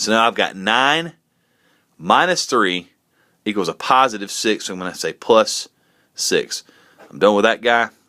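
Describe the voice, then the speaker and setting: In a quiet setting, a man talks at a moderate pace with lively intonation. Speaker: math teacher. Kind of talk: tutorial. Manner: casual. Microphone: phone near.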